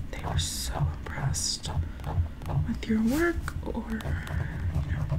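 Loud background noise fills the clip. A woman speaks softly through it. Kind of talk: casual vlog chat. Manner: soft, hushed ASMR speaking. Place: home room. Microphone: earbuds.

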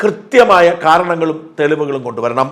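A man uses a normal speaking voice, fairly high in pitch with ordinary pitch variation. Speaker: news commentator. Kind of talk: political commentary monologue.

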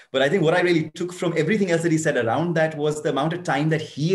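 A man speaks in a somewhat breathy voice. The background is quiet. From India. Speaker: foundation co-founder. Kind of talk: panel discussion. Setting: video call. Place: home room. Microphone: webcam.

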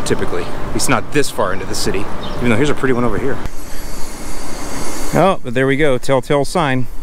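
Over noticeable background noise, a man speaks at a very fast pace in a dry sound with no echo. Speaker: lawn care educator. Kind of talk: casual walk-and-talk to camera. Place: street. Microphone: phone near.

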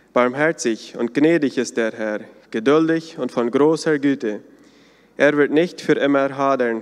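A man speaks at a fairly high pitch and a fairly slow pace, with ordinary pitch variation. The background is quiet. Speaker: church service moderator. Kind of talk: welcome, scripture reading and prayer. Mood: calm, solemn. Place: church. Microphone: podium.

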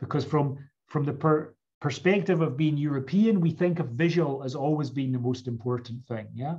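A man with a Scottish accent, fairly high in pitch and somewhat breathy, with ordinary pitch variation over a quiet background. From Scotland, Edinburgh. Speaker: professor. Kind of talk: lecture. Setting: video call. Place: home room. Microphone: webcam.

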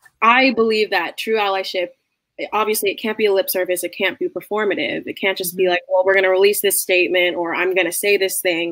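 Speaking very fast, a woman holds a medium pitch with fairly even intonation. The background is quiet. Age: 20s. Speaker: musical theater student; guest. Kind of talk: interview conversation. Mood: earnest, reflective. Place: home room.

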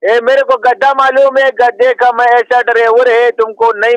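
A man speaks at an extremely high pitch in a monotone, flat way, at a fairly slow pace. The sound is dry, with no echo. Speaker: podcast comedian. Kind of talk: comic character monologue in broken Hindi. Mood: laughing, playful. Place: home room. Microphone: studio mic.

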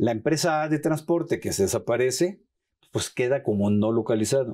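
Ordinary pitch variation runs through a dark, mellow voice moving at a fairly slow pace. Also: man. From Mexico, Sinaloa. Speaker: tax lawyer and law professor; tax lawyer, law professor. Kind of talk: expert interview on TV program. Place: studio. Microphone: lapel.

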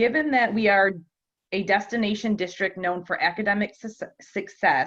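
A woman talks at a moderate pace and medium pitch, with ordinary pitch variation. She has a plain, everyday voice. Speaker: school board member. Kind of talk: reading questions aloud. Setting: board meeting.

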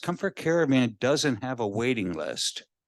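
A plain, everyday voice from a man at medium pitch, with lively intonation and a fairly slow pace, over a quiet background. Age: 60s. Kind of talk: public comment at county meeting. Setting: public meeting room, handheld microphone.

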